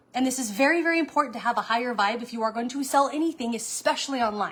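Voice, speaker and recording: Amid noticeable background noise, a woman speaks at a high pitch and a fairly quick pace. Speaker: online sales coach. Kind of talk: live stream talk. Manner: fast.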